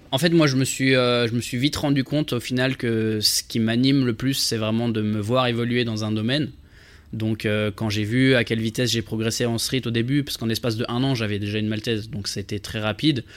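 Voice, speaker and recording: Speaking with an unremarkable speaking voice, a man uses a medium pitch, fairly even intonation and a fairly quick pace. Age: 20s. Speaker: content creator. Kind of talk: casual interview.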